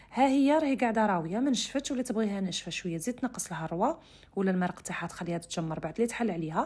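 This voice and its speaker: A somewhat breathy woman with a western Algerian accent, very fast and with hardly any pauses, very wide pitch swings, on a very clean recording with a silent background. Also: medium pitch for a woman. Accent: western Algerian Arabic (Oran). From Algeria, Oran (west). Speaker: cooking channel host. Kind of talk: cooking tutorial. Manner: casual, conversational.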